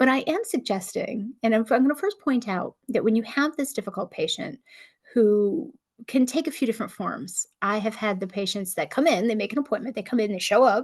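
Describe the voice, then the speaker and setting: A woman talks at a fairly quick pace, her fairly high voice carrying lively intonation. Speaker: nurse practitioner, channel host. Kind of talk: solo talk to camera, casual advice. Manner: fast; talkative, conversational.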